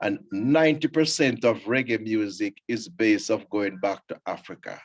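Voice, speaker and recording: A man's medium-pitched voice in a Jamaican accent, at a moderate pace with ordinary pitch variation. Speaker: scout leader and reggae show host. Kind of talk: casual radio chat.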